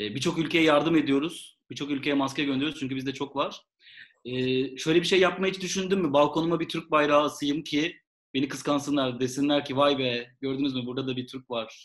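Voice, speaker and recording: Speaking in an ordinary speaking voice, a man with a fairly high pitch keeps a fairly even intonation at a fairly quick pace. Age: 30s. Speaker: podcast co-host. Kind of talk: casual chat.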